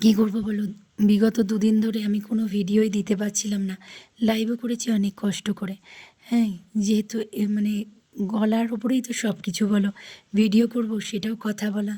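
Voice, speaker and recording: A woman's somewhat breathy voice has a dark, mellow tone and a monotone, flat intonation. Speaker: vlogger. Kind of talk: casual vlog talk. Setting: outdoors in rain.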